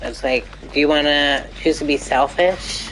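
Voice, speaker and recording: A woman talks over noticeable background noise. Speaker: video game streamer. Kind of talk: live gameplay commentary.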